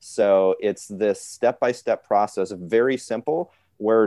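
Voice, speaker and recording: This man has a dark, mellow tone and an American accent. The sound is dry and close with no echo, over a quiet background. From US Midwest, northwest Ohio. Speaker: business consultant. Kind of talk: interview.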